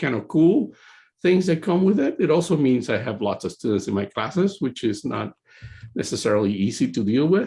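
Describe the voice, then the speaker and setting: A man with a Spanish accent, fairly high pitch, very wide pitch swings and vocal fry, at a moderate pace. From Puerto Rico. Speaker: computer science professor. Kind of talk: presentation. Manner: halting, many fillers.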